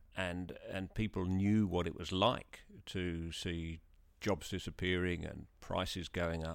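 On a very clean recording with a silent background, a man with an English accent speaks at a very slow pace in a very deep, low pitch with monotone, flat intonation. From England. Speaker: podcast host. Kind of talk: interview.

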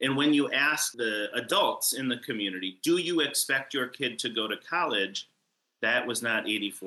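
Medium pitch and a bright, sharp tone from a man, with lively intonation at a moderate pace. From Northern Michigan. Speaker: nonprofit education director. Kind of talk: interview. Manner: animated.

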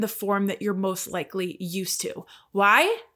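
In a Canadian accent, a woman speaks with a normal speaking voice at a medium pitch and fairly slow pace. The recording is very clean, with a silent background. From Canada. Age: 40s. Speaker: podcast host and life coach. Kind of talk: solo monologue podcast.

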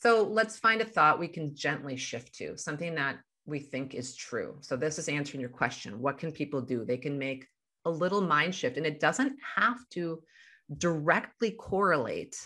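A woman with a Midwestern American accent speaks at a moderate pace against a quiet background. Her very deep, low pitch carries a bright, sharp tone and lively intonation. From US Midwest. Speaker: life coach. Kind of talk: interview.

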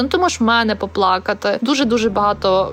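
A woman talks at a fairly high pitch with lively intonation and vocal fry. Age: 30s. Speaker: interviewee sharing a depression story. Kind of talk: personal testimony.

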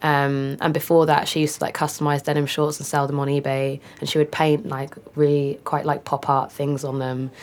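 A woman with a London accent speaks fairly quickly, with hardly any pauses. Her pitch is very deep and low, and her intonation is flat and monotone. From northeast London. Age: young. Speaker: photographer and director. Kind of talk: casual interview.

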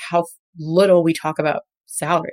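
A woman talks at a fairly quick pace in an American accent. The sound is dry and close, with no echo. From New York City, the Bronx. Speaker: veterinary oncologist. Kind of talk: interview conversation. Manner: casual, filler-heavy.

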